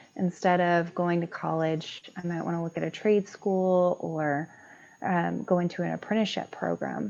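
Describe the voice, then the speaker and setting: Soft-spoken delivery in a dark, mellow tone at a moderate pace over a quiet background. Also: woman. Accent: American. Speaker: construction project manager. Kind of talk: panel interview.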